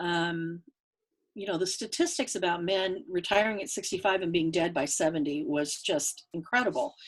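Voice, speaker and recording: A woman's normal speaking voice, medium in pitch, with lively intonation at a moderate pace. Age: 60s. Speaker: market researcher and author. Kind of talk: interview.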